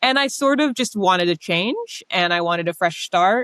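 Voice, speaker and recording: In a dry, close sound with no echo, a woman with an American accent and an ordinary speaking voice talks fairly quickly at a fairly low pitch. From United States. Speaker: novelist. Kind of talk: interview.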